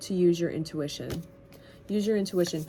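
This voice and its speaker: A woman's fairly low voice with ordinary pitch variation amid noticeable background noise. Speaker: tarot reader. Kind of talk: tarot reading.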